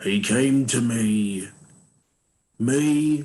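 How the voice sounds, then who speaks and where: A man performs in a put-on character voice. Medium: actual play. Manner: blunt, plain-spoken.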